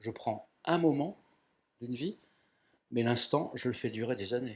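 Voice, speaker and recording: Here a man speaks in a normal speaking voice at a medium pitch. His pace is fairly slow, with ordinary pitch variation. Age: 60s. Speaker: photographer. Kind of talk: interview.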